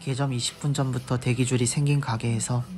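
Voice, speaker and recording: Noticeable background noise runs beneath talking at a moderate pace. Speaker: travel vlog narrator. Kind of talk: travel essay narration. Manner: occasionally stammers.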